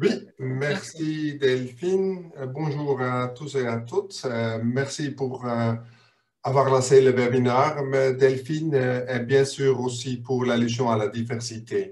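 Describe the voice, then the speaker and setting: A man with a non-native accent and medium pitch talks at a very slow pace with ordinary pitch variation. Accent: foreign accent in French. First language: not French (speaking French). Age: 50s. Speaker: business board expert. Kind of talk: webinar presentation.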